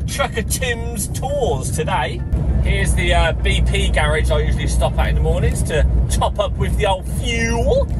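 A man talks at a moderate pace. Behind him, music is in the background. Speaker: lorry driver vlogger. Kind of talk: casual vlog chat. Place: car. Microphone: phone near.

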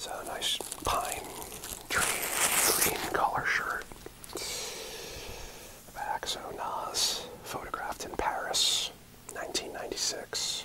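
A man whispers. He speaks at a very slow pace. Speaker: ASMR creator. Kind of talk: ASMR unboxing ramble. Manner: whispered, rambling. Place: home room. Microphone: earbuds.

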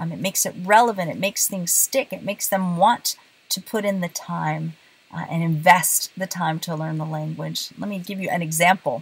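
A woman's fairly low-pitched, somewhat breathy voice at a moderate pace, with big swings in loudness. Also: ordinary pitch variation. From bilingual Puerto Rican and southern US home, military family. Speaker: Spanish teacher. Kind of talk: casual talk to camera. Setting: in a car. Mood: warm, friendly. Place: car. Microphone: phone near.

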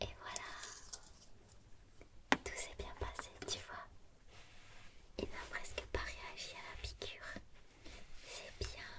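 A woman speaks at a very slow pace, leaving long, frequent pauses. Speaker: ASMR creator playing a veterinarian. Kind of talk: ASMR role play, soft consultation. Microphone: studio mic.

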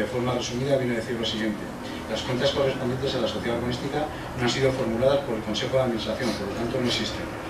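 There is noticeable background noise. Over it, a man speaks at a very fast pace. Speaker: council official or mayor. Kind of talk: reading an official report aloud. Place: meeting room.

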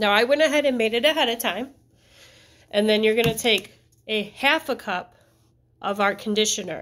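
Ordinary pitch variation in a woman's speech. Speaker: teacher. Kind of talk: craft tutorial for families. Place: classroom. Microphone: phone near.

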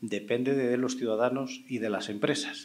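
With a Spanish accent, a man speaks with fairly even intonation. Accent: Spanish (Spain). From Spain. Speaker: panel moderator, cybersecurity expert; panel moderator. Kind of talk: panel moderation. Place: stage. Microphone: handheld.

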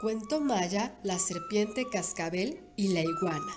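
With music in the background, a woman speaks at a fairly slow pace with lively intonation. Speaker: volunteer radio announcer. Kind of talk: children's story reading.

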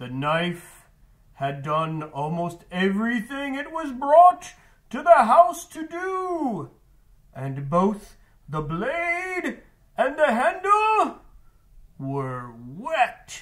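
A man does a cartoonish character voice at an extremely high pitch. He goes very slowly, with long, frequent pauses. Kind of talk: book recommendation talk for students. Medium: puppet. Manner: theatrical, spooky wailing.

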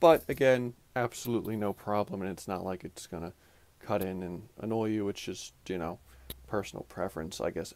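Moderately paced male speech in a normal speaking voice, pitched fairly low. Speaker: product reviewer. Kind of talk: casual review talk. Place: home room.

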